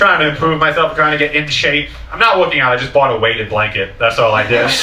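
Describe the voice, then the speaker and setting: With an American accent, a man talks at a very fast pace in a fairly high pitch, his intonation lively. Noticeable background noise and audible room echo come through. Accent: sounds Boston-like due to speech impediment. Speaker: stand-up comedian. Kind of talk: stand-up. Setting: stage with audience.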